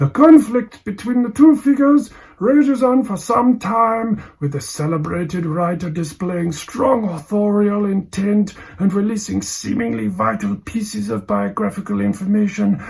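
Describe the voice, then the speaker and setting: Lively in intonation and high in pitch, a man speaks at a moderate pace with hardly any pauses. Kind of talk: deadpan literary reading. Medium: read story. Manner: measured, dry, with thoughtful hums.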